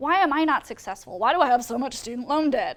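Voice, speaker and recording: Fairly quick and animated, the speaker moves right along. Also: woman. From US West Coast (San Francisco). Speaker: public health worker, alumni speaker. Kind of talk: talk to students.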